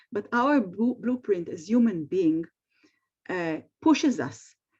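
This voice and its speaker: Her dark, mellow, medium-pitched voice carries lively intonation as the woman speaks at a fairly slow pace. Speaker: speech-language clinician. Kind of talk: webinar presentation. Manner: halting.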